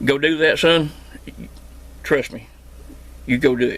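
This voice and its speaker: A man speaks with a strong Southern Appalachian accent. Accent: strong Southern Appalachian drawl. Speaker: homesteader and CB radio repairman. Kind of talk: casual vlog monologue. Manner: casual, hesitant with fillers.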